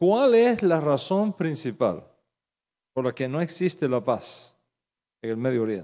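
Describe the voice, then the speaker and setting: A man with a Cuban accent, fairly high in pitch, with a dark, mellow tone, very wide pitch swings, and a fairly slow pace. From Cuba, Santa Clara. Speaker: pastor. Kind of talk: sermon. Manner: animated.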